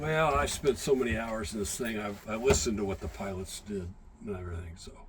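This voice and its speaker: Amid audible room echo, a man with a fairly low pitch speaks at a very fast pace with lively intonation and big swings in loudness. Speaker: museum docent and navy veteran navigator. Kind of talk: guided tour explanation. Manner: halting.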